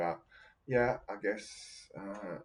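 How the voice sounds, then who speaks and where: With an Australian accent, this man's voice sits fairly low in pitch. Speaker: podcast host reading near-death experience accounts. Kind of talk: casual commentary. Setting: home, seated by a window. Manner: hesitant, many fillers.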